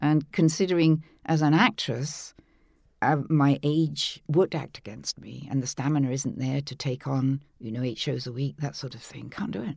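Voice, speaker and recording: A woman's very deep, low voice with vocal fry, ordinary pitch variation, big swings in loudness, and a moderate pace. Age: 80s+. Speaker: audiobook narrator. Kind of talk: interview.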